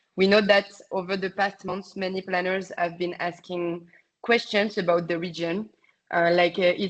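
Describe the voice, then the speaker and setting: A woman with a strong French accent speaks at a moderate pace and medium pitch. Her intonation is monotone and flat. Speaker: travel industry sales representative. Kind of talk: webinar presentation. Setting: online webinar. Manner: halting, many fillers.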